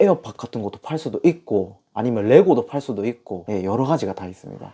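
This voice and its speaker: A man of medium pitch with a strong Gyeongsang accent, a dark, mellow tone, very wide pitch swings, big swings in loudness and a very fast pace, on a very clean recording with a silent background. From South Korea, Masan (Gyeongsang). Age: 20s. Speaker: online reseller, business owner. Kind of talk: interview. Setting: host's office.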